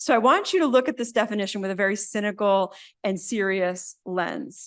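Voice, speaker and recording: Her medium-pitched voice is animated, with ordinary pitch variation, as the woman talks at a fairly quick pace against a quiet background. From New Jersey. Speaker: minister and university chaplain. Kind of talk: lecture. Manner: fast.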